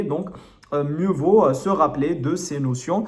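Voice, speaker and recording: A man talks at a moderate pace with a slight non-native accent and a fairly high pitch. His pitch varies in an ordinary way, and audible room echo surrounds the voice. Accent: slight foreign. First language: not French (speaking French). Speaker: French literature tutor. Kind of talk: lecture. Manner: hesitant, many fillers.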